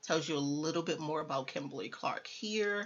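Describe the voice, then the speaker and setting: A woman speaks with a fairly low pitch at a fairly quick pace. Her pitch varies in an ordinary way. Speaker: tech career youtuber. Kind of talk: tutorial. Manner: fast.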